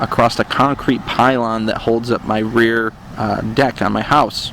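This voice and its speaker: A man speaks with an American accent at a medium pitch, fairly slowly and in a flat monotone. There is noticeable background noise. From central upstate New York. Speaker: dashcam YouTuber. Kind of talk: Q&A monologue.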